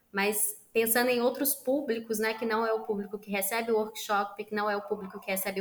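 Noticeable background noise is present throughout. The intonation remains fairly even. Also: woman. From Minas Gerais, Brazil. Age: 30s. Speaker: social entrepreneur. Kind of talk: interview.

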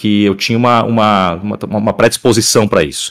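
A man speaks in a fairly low voice at a fairly quick pace. The sound is dry and close with no echo, on a very clean recording with a silent background. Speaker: voice actor. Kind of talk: casual chat.

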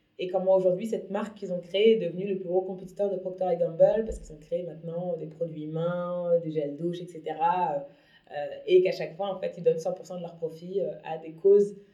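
A dark, mellow tone carries a monotone, flat delivery at a fairly quick pace. The volume rises and falls in big swings. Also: woman, fairly low pitch for a woman. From Paris, France. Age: 30s. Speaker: entrepreneur. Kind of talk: interview.

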